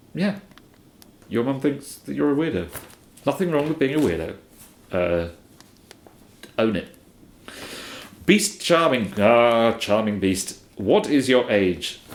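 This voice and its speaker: A man in an English accent talks at a fairly slow pace in a medium pitch, with very wide pitch swings and long, frequent pauses. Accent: received pronunciation, posh English. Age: early to mid 30s. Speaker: streamer answering viewer questions. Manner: hesitant, many fillers.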